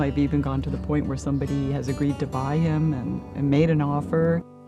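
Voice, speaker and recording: Music plays in the background as a woman speaks at a very fast pace. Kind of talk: interview answer.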